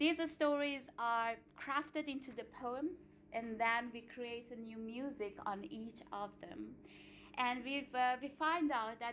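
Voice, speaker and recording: A woman with an Iranian accent, high pitch and ordinary pitch variation. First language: Farsi. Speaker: singer and artistic director. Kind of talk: seminar talk. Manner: halting, with frequent fillers.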